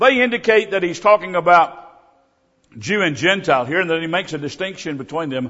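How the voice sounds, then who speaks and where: This man's voice is high. He speaks fairly quickly. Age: 70s. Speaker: visiting preacher. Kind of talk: sermon. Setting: church.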